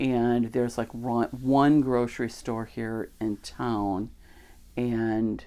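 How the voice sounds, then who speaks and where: In a dark, mellow tone with a Chicago accent, the speaker moves at a very slow pace with ordinary pitch variation. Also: woman. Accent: Chicago-area American. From US Midwest, Chicago area, Illinois. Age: 60s. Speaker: podcaster, religious teacher. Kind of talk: casual monologue. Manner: conversational, with fillers.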